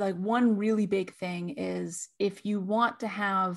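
A woman with an unremarkable speaking voice uses an American accent and fairly even intonation. The recording is very clean, with a silent background. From California. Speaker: tech industry marketer. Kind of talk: podcast interview.

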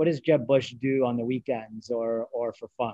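His is a plain, everyday voice. The man's pitch shifts in an ordinary way. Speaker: podcast host and finance executive. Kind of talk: interview. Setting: video call.

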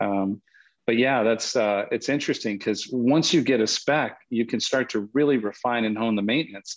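A man talks in a plain, everyday voice at a medium pitch and moderate pace, with ordinary pitch variation and very even loudness. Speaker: podcast co-host. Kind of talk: casual interview.

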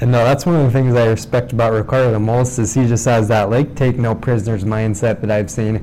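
A man of medium pitch talks very fast with hardly any pauses, fairly even intonation and very even loudness. Noticeable background noise is present. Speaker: podcast host. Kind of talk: casual interview. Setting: office.

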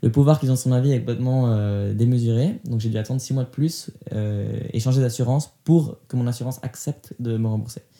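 At a fairly quick pace, a man speaks with a dark, mellow tone. His pitch is medium and his intonation fairly even. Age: 20s. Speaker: podcast interviewee sharing life story. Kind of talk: testimony. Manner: halting with frequent hesitations.

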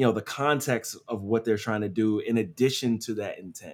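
Captured in a very clean recording with a silent background, a man with an American accent and an unremarkable speaking voice talks at a medium pitch with ordinary pitch variation. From US Northeast, Philadelphia. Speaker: SEO agency owner. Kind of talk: casual interview.

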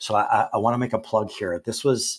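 A man talks at a moderate pace. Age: 50s. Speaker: education consultant, former teacher. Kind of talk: interview. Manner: animated.

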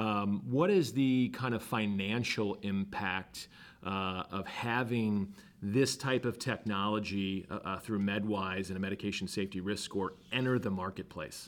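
A man with an unremarkable speaking voice and a fairly low pitch talks at a fairly slow pace with ordinary pitch variation. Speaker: podcast host. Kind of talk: interview, podcast host.

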